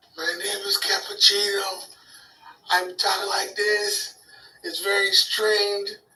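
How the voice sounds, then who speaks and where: Over music in the background, a put-on character voice sounds strained at a fairly high pitch. It moves at a fairly slow pace with long, frequent pauses. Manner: exaggerated put-on voice, strange and strained.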